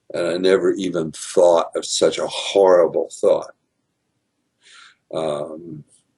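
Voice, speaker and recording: Pausing long and often, a man speaks at a very slow pace. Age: 70s. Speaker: retired teacher, video host. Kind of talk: casual monologue. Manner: halting.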